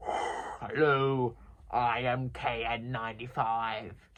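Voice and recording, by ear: In a robotic, put-on character voice, the speaker goes very slowly at a low-to-middle pitch.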